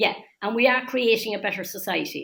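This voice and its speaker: A woman with a Cork accent speaks at a moderate pace, her pitch fairly high and her pitch variation ordinary. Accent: Cork Irish. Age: 70s. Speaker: older persons' council member. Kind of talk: interview. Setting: webinar. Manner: animated.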